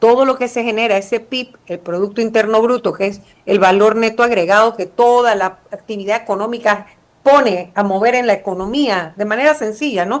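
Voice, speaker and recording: At a moderate pace, a woman talks in a plain, everyday voice, fairly high in pitch with ordinary pitch variation. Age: 60s. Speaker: former prosecutor and politician. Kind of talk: interview.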